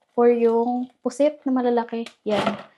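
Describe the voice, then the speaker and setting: A woman is speaking. Her pitch is high. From Philippines. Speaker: vlogger. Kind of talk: casual vlog chat. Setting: at home. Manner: soft-spoken, speaking quietly.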